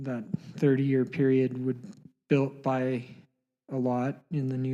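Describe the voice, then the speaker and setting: A man speaks with a western Canadian accent. His tone is dark and mellow, his intonation monotone and flat. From Canada, Alberta (Canmore). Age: 30s. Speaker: pro skier. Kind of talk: interview. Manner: halting.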